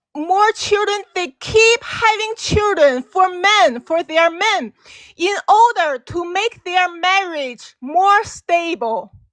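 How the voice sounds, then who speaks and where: A woman with a Chinese accent speaks very slowly at an extremely high pitch, her voice dry and close with no echo. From China. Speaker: caller. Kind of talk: debate. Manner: halting.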